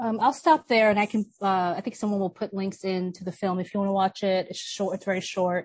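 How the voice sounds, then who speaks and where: With an American accent, a woman talks at a fairly quick pace with hardly any pauses. Her voice is somewhat breathy and her intonation fairly even. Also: medium pitch for a woman. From New York City, Brooklyn. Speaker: filmmaker and activist. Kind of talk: panel discussion.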